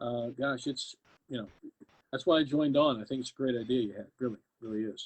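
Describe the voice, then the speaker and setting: With an American accent, a man of medium pitch speaks at a very fast pace in fairly even intonation, broken by long, frequent pauses. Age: 60s. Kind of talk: interview. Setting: live video stream.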